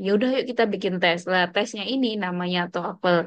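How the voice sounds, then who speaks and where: The voice moves at a moderate pace with lively intonation over a quiet background. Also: woman. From Indonesia. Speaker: Arabic language teacher. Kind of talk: lecture. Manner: casual, conversational.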